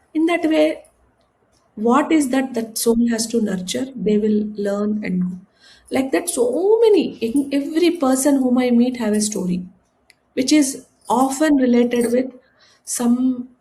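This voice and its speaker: A high-pitched woman's voice, dark and mellow in tone, with lively intonation and a fairly slow pace. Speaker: spiritual guru. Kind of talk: interview. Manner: halting.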